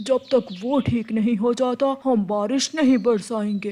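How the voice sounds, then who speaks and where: Putting on a cartoonish character voice, a man speaks at an extremely high pitch. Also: moderate pace. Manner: calm, explanatory.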